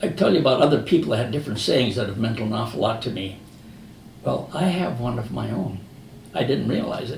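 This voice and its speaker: A man with an American accent talks at a very fast pace in a medium pitch with lively intonation, and the room echo is audible. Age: 80s+. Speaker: retired business founder. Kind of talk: motivational talk. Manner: conversational storytelling.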